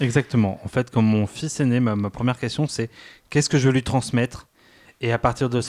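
A man's unremarkable speaking voice at medium pitch, fairly even in intonation and moderate in pace, with a dry, close sound, no echo and a very clean, silent background. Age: 30s. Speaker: father sharing experience. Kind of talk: casual chat.

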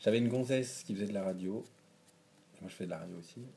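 Lively intonation runs through a man's dark, mellow tone as he speaks at a very fast pace. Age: 20s. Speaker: podcast interview guest. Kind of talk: casual interview about sex life. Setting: at the host's home, drinking beer. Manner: hesitant, many fillers.

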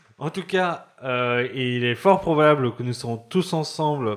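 Over a silent background in a very clean recording, a man talks very slowly with lively intonation. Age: 30s. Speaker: podcast host. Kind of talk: casual chat; reading aloud.

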